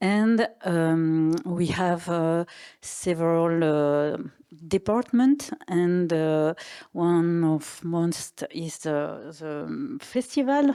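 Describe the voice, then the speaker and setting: Speaking at a very slow pace, a woman uses a fairly low pitch and a dark, mellow tone with lively intonation. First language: French and Italian. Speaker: artistic director. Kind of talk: panel discussion. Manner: halting, searching for words.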